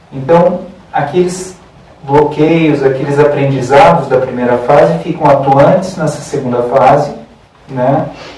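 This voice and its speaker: Fairly slow, fairly even speech from a man with a fairly high pitch, amid noticeable background noise and audible room echo. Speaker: holistic therapy lecturer. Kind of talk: lecture.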